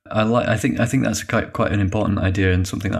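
A man with a Yorkshire accent and a fairly low pitch on a very clean recording with a silent background. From northern England (Yorkshire). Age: 40s. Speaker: animator. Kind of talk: casual interview. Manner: halting.

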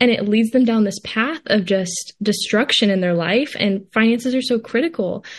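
A woman speaks at a moderate pace with hardly any pauses and a fairly high pitch. Her voice is somewhat breathy, with very even loudness and ordinary pitch variation. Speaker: college student. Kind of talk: interview.

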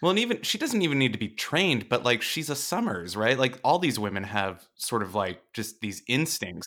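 With an American accent, a man speaks at a moderate pace in a bright, sharp tone, his pitch swinging very widely and hardly any pauses between words. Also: medium pitch for a man. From Las Vegas, US. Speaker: TV editor. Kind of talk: casual chat.

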